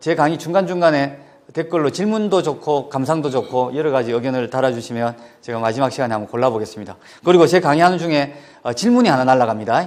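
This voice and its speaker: Speaking very fast with a Gyeongsang accent, a man uses a fairly high pitch and lively intonation. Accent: Gyeongsang Korean intonation. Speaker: education official. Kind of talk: lecture.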